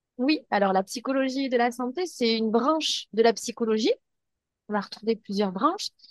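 A high-pitched woman's voice at a moderate pace, ordinary pitch variation, dry, close sound with no echo. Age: 30s. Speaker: psychologist. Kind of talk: interview.

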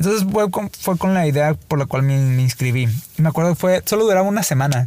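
A man with a Mexican accent speaks at a fairly high pitch in a dark, mellow tone. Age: 30s. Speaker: filmmaker. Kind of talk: casual chat. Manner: halting.

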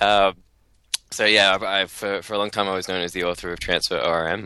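A man with an Australian accent speaks over noticeable background noise. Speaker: software developer podcast co-host. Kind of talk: casual chat.

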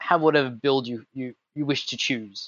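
A man with an Australian accent and monotone, flat intonation. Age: 20s. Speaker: tabletop gamer. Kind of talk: casual chat.

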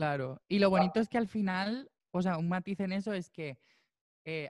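Heard in a dry, close sound with no echo, a man speaks at a moderate pace with ordinary pitch variation. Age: 20s. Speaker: musician and percussionist. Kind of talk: interview.

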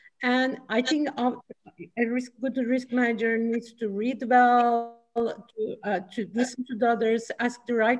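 A woman speaks in a Turkish accent at a moderate pace. Her high pitch stays on a fairly even intonation. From Turkey. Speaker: chief risk officer. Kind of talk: panel discussion.

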